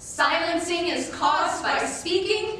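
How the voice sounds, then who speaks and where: A raised, projected voice moves at a very slow pace over noticeable background noise. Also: woman. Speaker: college forensics team member. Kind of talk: reader's theater performance.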